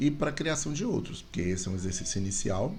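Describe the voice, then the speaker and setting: A man's voice with vocal fry at a fairly quick pace, with audible room echo. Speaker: university lecturer. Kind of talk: tutorial. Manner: fast.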